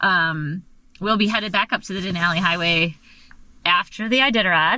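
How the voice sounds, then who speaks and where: A woman with an American accent speaks at a moderate pace, her fairly low voice bright and sharp with ordinary pitch variation. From Michigan. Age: 40s. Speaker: dog musher. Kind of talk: casual interview chat. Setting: in her truck.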